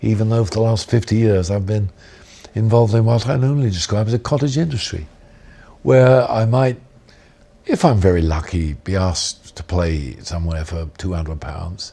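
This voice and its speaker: Fairly low in pitch, somewhat breathy, and dark and mellow in tone, a man talks at a moderate pace with very wide pitch swings. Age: 70s. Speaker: jazz musician. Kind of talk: interview. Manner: reflective, with frequent 'um' fillers.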